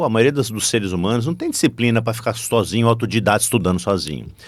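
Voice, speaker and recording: A man at a very fast pace, medium in pitch with lively intonation, on a very clean recording over a silent background. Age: 60s. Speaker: business professor and corporate board advisor. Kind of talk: podcast interview. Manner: animated.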